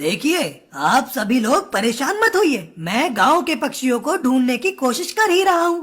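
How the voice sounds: This cartoonish character voice sits high in pitch, swinging very widely up and down at a moderate pace.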